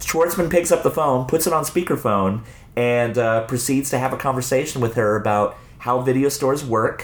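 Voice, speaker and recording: A man's medium-pitched voice at a moderate pace, with very even loudness. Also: ordinary pitch variation. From Arizona, suburbs of Phoenix. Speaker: video store owner and filmmaker. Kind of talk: casual chat. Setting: in a video store. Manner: halting, many repetitions.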